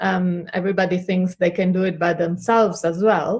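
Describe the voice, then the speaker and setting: A woman speaks at a medium pitch in a monotone, flat intonation. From Italy, Treviso near Venice. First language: Italian. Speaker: health coach. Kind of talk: interview. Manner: hesitant, many fillers.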